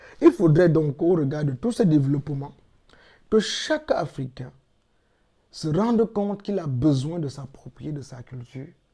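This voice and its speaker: Speaking with a Cameroonian accent, a man with a fairly high pitch and a dark, mellow tone talks at a fairly slow pace, using lively intonation, big swings in loudness and long, frequent pauses. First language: Yemba (speaking French). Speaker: cultural advocate, platform founder. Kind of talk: interview.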